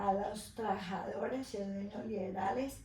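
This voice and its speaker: Fairly slow speech from a woman, with audible echo in the room and noticeable noise behind. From Colombia, Tolima. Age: 70s. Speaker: retired teacher, interviewee. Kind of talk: interview testimony.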